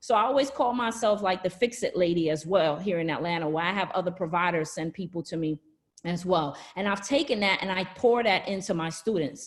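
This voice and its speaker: A woman's medium-pitched voice with a Brooklyn accent. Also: lively intonation, fairly quick pace. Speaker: nurse practitioner and skin care entrepreneur. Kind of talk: webinar business presentation. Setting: online live presentation from home. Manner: casual, chatty.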